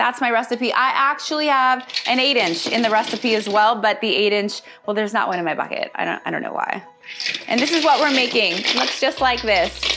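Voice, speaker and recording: Over noticeable background noise, a woman talks at a fairly quick pace in an animated tone. Her pitch is high, with ordinary pitch variation. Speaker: holiday decor presenter. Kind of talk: tutorial.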